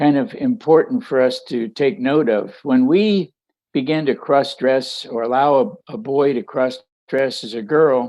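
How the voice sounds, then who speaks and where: Music plays in the background as a man speaks at a fairly slow pace with a fairly high pitch and lively intonation. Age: 80s+. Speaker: author and speaker on transition regret. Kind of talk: interview testimony.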